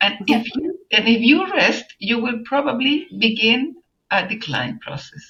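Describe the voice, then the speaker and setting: At a fairly slow pace, a woman with a fairly high pitch and vocal fry swings her pitch very widely. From Chile. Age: 70s. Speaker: journalist and environmental activist. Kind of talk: interview answer.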